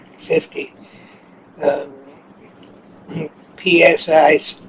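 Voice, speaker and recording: A man speaks against noticeable background noise. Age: 80s+. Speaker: steam engineer. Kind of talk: interview answer. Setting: kitchen.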